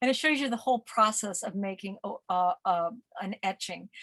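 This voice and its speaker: Here a woman talks at a moderate pace. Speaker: museum curator giving art talk. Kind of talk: lecture. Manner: halting, many fillers.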